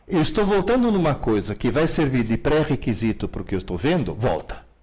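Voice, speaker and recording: Very wide pitch swings mark this man's fairly quick speech. Room echo is audible. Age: 70s. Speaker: educator and author. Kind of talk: live Q&A lecture.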